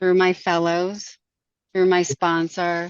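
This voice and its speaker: This woman's voice sits at a fairly low pitch. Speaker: recovery meeting speaker. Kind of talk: testimony.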